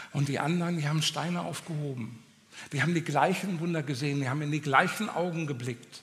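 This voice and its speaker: A man talks at a very fast pace in an animated, passionate tone. His voice is fairly high with ordinary pitch variation, over noticeable background noise. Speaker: preacher. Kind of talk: sermon. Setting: church with audience. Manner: direct, exhortative.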